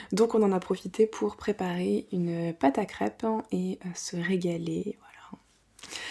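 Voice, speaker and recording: Very slowly, a woman speaks with ordinary pitch variation. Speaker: home vlogger. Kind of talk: casual vlog chat. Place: home room.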